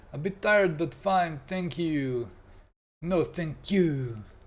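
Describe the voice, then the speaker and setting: A man is speaking. His pace is very slow. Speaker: digital art livestreamer. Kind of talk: casual livestream chat. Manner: animated.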